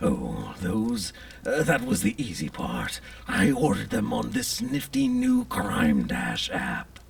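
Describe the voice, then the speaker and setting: Someone talks in a cartoonish character voice at a fairly slow pace. Background noise is clearly heard. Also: man. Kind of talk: gothic horror monologue. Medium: puppet show. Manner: florid, theatrical.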